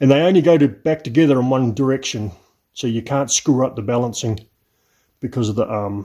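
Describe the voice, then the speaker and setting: A man speaks at medium pitch with a New Zealand accent, his tone dark and mellow, his pitch varying in an ordinary way over a quiet background. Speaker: classic car restorer. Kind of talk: workshop vlog. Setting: home garage. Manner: casual.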